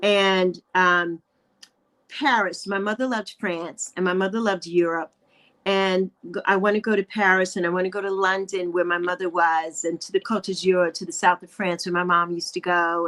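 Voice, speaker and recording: A woman with a medium pitch speaks at a moderate pace with fairly even intonation. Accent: American. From New York, the Bronx. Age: 60s. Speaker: YouTuber. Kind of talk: interview conversation.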